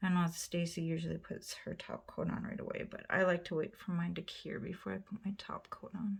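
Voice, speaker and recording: A quiet woman talks at a fairly quick pace with hardly any pauses. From US Midwest, northern Wisconsin. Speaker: nail polish YouTuber. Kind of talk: casual tutorial.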